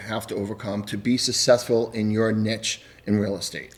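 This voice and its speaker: This man speaks with a Boston accent. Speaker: podcast host. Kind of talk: podcast interview.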